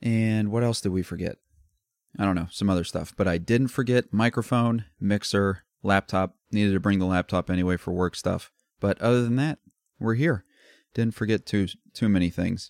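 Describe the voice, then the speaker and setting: Here a man speaks with an American accent at a moderate pace. His fairly low voice shows ordinary pitch variation. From US Midwest, Columbus, Ohio. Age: 20s. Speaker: podcast host. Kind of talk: casual solo rant. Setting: recording away from home while traveling.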